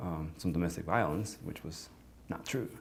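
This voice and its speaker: A man is speaking. He has a Spanish accent. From Sonora, northern Mexico. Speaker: client giving a testimonial. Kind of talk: testimonial.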